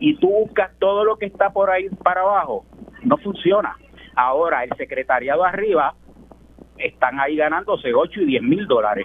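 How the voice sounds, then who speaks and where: Amid noticeable background noise, a man talks at a moderate pace in a high pitch that swings very widely. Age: 70s. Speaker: caller. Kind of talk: call-in opinion. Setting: phone call.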